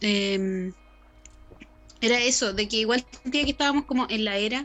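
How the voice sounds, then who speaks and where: Here a woman speaks at a fairly slow pace. Her pitch is fairly high, with ordinary pitch variation. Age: 20s. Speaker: podcast co-host. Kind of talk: casual chat.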